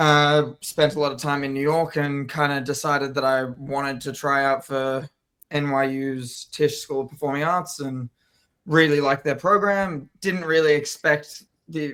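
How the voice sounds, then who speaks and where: With an Australian accent, a man talks at a moderate pace in a fairly high pitch, his intonation fairly even and his tone bright and sharp. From Australia, Melbourne. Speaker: actor. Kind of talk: interview.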